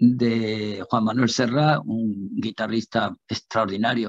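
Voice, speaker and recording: A man speaks at a very slow pace, the sound dry with no echo and the background quiet. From Andalusia, Spain. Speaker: musician; interview guest. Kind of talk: interview. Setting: live TV broadcast. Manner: halting, many repetitions. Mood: warm, animated. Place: home room. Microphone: video call.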